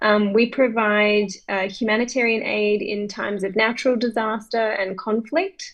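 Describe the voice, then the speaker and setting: This woman talks at a fairly slow pace with fairly even intonation. Her pitch is fairly high. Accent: Australian. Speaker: humanitarian aid worker. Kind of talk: self-introduction at club video meeting.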